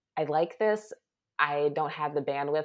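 A woman with an American accent speaks in a very deep, low voice. Her pace is moderate. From Baltimore, US. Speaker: freelance writer and editor. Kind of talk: interview.

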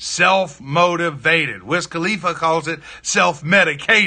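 A man speaks in a high pitch with a bright, sharp tone. His pitch variation is ordinary. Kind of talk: pep talk. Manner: fired-up, emphatic, urging the listener on; repetitive, drill-like phrasing with punchy commands.

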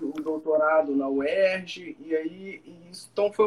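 A man is speaking. His intonation is lively. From Brazil, Minas Gerais (Juiz de Fora). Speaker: law professor. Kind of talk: casual interview on a live stream. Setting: video live stream.

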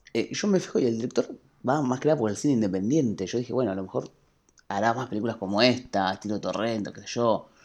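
The pace is fairly quick. The speech comes in a Rioplatense accent. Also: man. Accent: Argentine Spanish (rioplatense). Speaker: podcast host. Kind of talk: casual chat.

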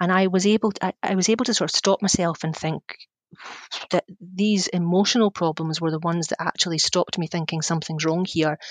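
A woman speaks with a Scottish accent and fairly even intonation. The sound is dry and close, with no echo. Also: fairly low pitch for a woman, fairly quick pace. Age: 40s. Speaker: communications consultant. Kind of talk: interview. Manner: halting.

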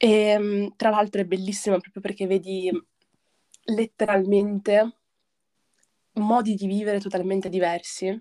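A woman's medium-pitched, dark, mellow voice in a monotone, flat delivery at a fairly slow pace, with long, frequent pauses and a dry, close sound free of echo. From northern Italy, province of Brescia (Lake Garda); born in Morocco. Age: 20s. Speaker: film and media graduate, collective member. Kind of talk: casual chat.

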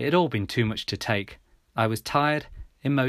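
Someone is doing plain reading aloud. Their pitch shows ordinary variation.

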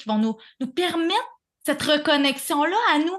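A woman speaks with a Quebec accent. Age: 30s. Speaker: breathwork facilitator. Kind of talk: casual interview chat.

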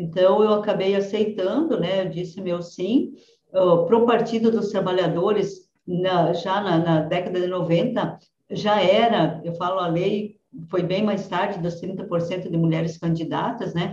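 Speaking at a fairly slow pace, this woman has a medium pitch, fairly even intonation and a plain, everyday voice. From southwestern Paraná, Brazil. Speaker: politician. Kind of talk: interview.

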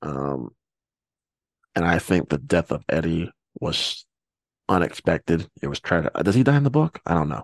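The voice has vocal fry and very wide pitch swings, moving at a moderate pace with long, frequent pauses. The sound is dry and close with no echo. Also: man, very deep, low pitch for a man. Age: 20s. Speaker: podcast host. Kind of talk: casual chat.

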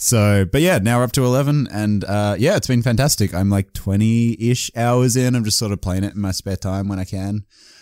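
In a very clean recording with a silent background, a man with an Australian accent speaks at a moderate pace. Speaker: gaming content creator. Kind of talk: casual chat. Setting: call.

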